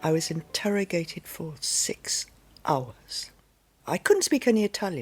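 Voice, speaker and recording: The recording is very clean, with a silent background. In it, a woman talks. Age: 80s+. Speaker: storyteller sharing life story. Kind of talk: personal storytelling. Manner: halting.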